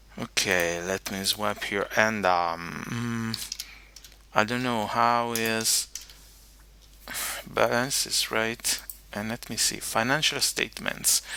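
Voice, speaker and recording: The speech comes at a very slow pace, with long, frequent pauses and ordinary pitch variation. Noticeable background noise can be heard. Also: man, medium pitch for a man. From Italy. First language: Italian. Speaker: teacher. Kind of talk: tutorial. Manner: halting, many fillers.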